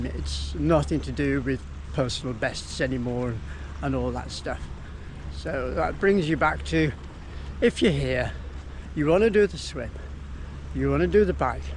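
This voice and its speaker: A man talks at a moderate pace with long, frequent pauses, and there is noticeable background noise behind him. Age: 60s. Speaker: amateur triathlete. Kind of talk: casual talk to camera. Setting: outdoors.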